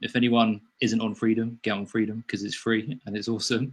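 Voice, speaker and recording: This is a male speaker at a medium pitch. He has an English accent. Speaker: sleep coach. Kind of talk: casual chat. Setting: video call.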